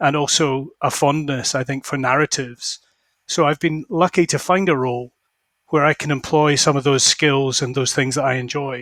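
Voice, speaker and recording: A man with a Scottish accent speaks at a moderate pace and a fairly high pitch. His intonation is fairly even, and the sound is dry and close with no echo. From Scotland. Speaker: fund manager. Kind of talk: interview.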